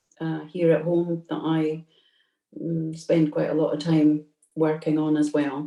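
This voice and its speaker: A woman with a Scottish accent speaks in a dark, mellow tone. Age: 60s. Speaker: community councillor. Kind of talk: webinar talk. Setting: video call.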